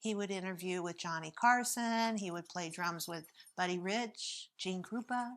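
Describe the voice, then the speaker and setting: A woman with an American accent has a normal speaking voice. She speaks at a moderate pace with fairly even intonation. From southern California, Palm Springs. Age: 60s. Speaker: interviewee sharing life story. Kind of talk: personal storytelling interview.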